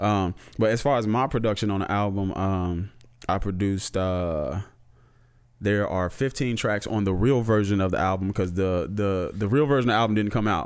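Using a normal speaking voice, a man talks at a moderate pace with fairly low pitch, ordinary pitch variation and very even loudness. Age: middle-aged. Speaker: rapper and music producer. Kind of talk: casual chat.

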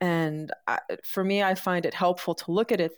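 A woman speaks with an American accent in a plain, everyday voice, fairly low in pitch and at a moderate pace. Her intonation is fairly even, and the sound is dry and close with no echo. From New York City. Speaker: marketing strategist and startup advisor. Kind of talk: podcast interview. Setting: live stream video call.

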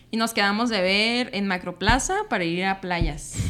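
A woman with a bright, sharp tone speaks at a medium pitch with ordinary pitch variation. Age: 20s. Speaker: environmental engineer. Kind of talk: casual chat.

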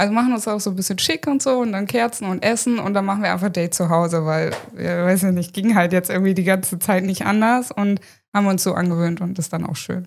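A woman talks at a very fast pace. Her pitch sits in the medium range and varies in an ordinary way. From Hanover, northern Germany. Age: 30s. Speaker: content creator. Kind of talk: casual interview.

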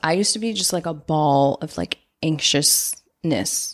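A woman talks at a fairly slow pace, recorded very cleanly against a silent background. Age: 30s. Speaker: podcast host. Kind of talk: casual solo advice talk. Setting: at a desk, recording at home. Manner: animated.

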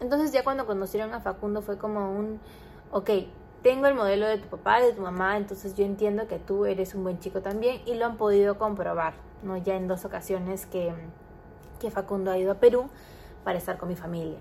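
A woman talks at a fairly quick pace in a normal speaking voice, her pitch medium and her pitch variation ordinary. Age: 20s. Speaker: podcaster. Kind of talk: casual monologue.

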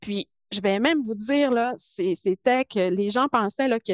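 Speaking very slowly, a woman uses ordinary pitch variation and a calm tone. The sound is dry and close with no echo, over a quiet background. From Quebec, Saguenay–Lac-Saint-Jean (Alma). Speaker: biochemist and project leader. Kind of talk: interview.

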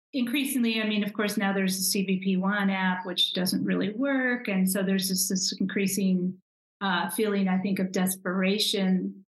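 A woman with a normal speaking voice talks at a moderate pace and medium pitch, her intonation fairly even and her loudness very even. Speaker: podcast interviewer. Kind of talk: interview questions.

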